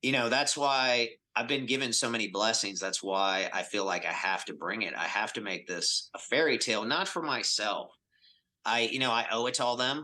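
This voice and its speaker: At a moderate pace, a man with a medium pitch and a bright, sharp tone shows ordinary pitch variation. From Atlanta, US South. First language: Spanish. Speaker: business executive. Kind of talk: podcast interview.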